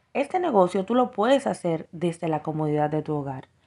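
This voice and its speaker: Against a quiet background comes a plain, everyday voice. It speaks at a fairly slow pace with lively intonation. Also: woman. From Dominican Republic. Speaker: entrepreneur. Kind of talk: prepared testimony.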